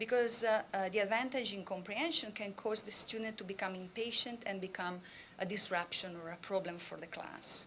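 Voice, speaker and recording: Speaking with a strong Italian accent, a woman keeps a fairly quick pace. Her pitch is medium, with ordinary variation. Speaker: professor. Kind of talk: conference talk.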